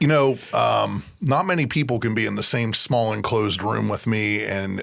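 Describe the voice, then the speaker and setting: A man at a moderate pace with hardly any pauses, over noticeable background noise. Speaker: podcast host. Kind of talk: casual chat. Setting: studio. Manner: loud.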